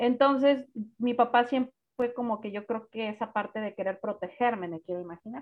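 A woman with a plain, everyday voice talks at a fairly high pitch with ordinary pitch variation. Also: fairly quick pace. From Guadalajara, Mexico. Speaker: singer-songwriter and vocal coach. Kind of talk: casual interview.

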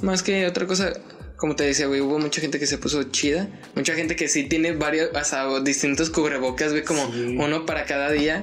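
With music in the background, a speaker in a Mexican accent goes at a fairly quick pace. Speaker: podcast co-host. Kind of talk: casual chat.

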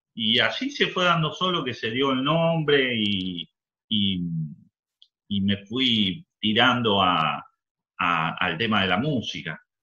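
With an Argentine accent, a man speaks very slowly at a medium pitch, his voice making very wide pitch swings between long, frequent pauses. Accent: Rioplatense Argentine Spanish. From Argentina. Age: 40s. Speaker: DJ and rapper. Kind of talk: interview. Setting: remote call.

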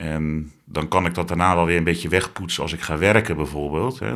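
A man's very deep, low pitch comes through at a fairly quick pace. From Zeeland. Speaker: interviewee sharing mental health experience. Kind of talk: personal testimony interview.

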